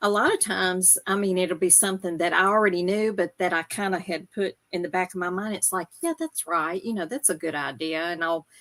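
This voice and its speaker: With hardly any pauses, a woman with a Southern US accent speaks at medium pitch on a very clean recording with a silent background and a dry, close sound with no echo. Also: ordinary pitch variation. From US South, Memphis area. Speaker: reseller. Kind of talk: casual chat.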